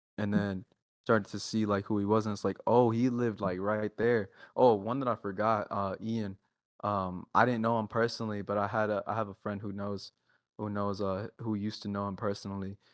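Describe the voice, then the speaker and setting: On a very clean recording with a silent background and a dry, close sound free of echo, a man with an American accent speaks fairly quickly, fairly low in pitch and in a monotone, flat delivery. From Texas, Dallas area. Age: 20s. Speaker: underground rapper. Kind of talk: casual interview chat. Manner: halting, many fillers.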